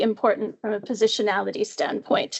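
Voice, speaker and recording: A woman speaks with a Canadian accent and vocal fry. Her pitch sits fairly high. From Canada, far west coast. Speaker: professor, epidemiologist. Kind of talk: academic seminar talk. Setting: seminar room with audience. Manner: casual with frequent fillers.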